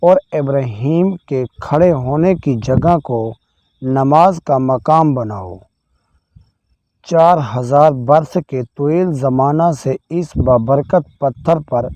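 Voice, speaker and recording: Dry and close with no echo, a man's fairly high voice has a dark, mellow tone and ordinary pitch variation. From Pakistan. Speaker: voice over artist. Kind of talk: religious storytelling narration.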